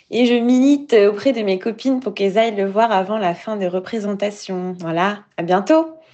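A woman in a normal speaking voice, medium in pitch, at a moderate pace with ordinary pitch variation and hardly any pauses. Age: 30s. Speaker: listener leaving a voice message. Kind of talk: recorded voice message. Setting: phone voice message.

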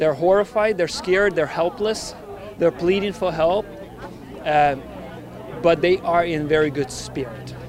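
A man with a high pitch and ordinary pitch variation talks at a fairly slow pace. Long, frequent pauses and noticeable background noise fill the clip. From Ukraine. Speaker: nurse. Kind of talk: public speech.

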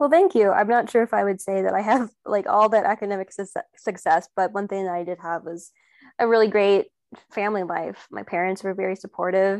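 A woman speaks at a fairly quick pace in an unremarkable speaking voice, medium-pitched with fairly even intonation. The sound is dry and close with no echo over a quiet background. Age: 20s. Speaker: student teacher. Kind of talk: panel discussion.

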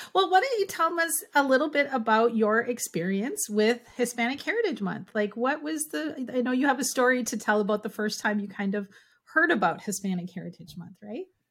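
With a Minnesotan accent, a woman talks at a fairly quick pace, her high voice moving through very wide pitch swings. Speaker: podcast host, language educator. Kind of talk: casual interview chat.

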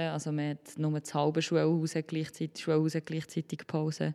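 At a moderate pace, a woman with a very deep, low pitch and a dark, mellow tone speaks in a Solothurn accent on a very clean recording with a silent background. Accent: Swiss German (Solothurn). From Switzerland, Solothurn. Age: 20s. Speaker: primary school teacher. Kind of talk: interview.

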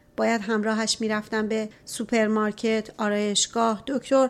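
In a normal speaking voice, a woman talks at a moderate pace with a fairly high pitch, recorded very cleanly against a silent background. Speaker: audiobook narrator. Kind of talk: reading aloud.

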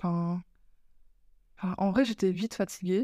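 A dark, mellow voice with fairly even intonation comes through in a dry, close sound with no echo. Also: woman. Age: 20s. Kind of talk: casual chat.

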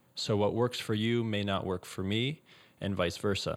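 This man has an ordinary speaking voice, set at a fairly low pitch with ordinary pitch variation. He speaks at a fairly quick pace. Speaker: meditation teacher and tennis coach. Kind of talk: guided meditation. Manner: gentle, measured.

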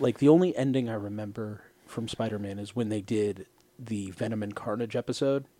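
A man speaks at a fairly quick pace in an ordinary speaking voice. His pitch is medium and varies in the ordinary way. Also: big swings in loudness. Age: 30s. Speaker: podcast host. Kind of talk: casual chat. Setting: studio.

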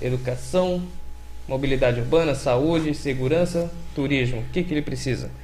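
This man's voice sits fairly high in pitch. Audible room echo surrounds it. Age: 40s. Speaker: podcast host. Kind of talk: casual chat.

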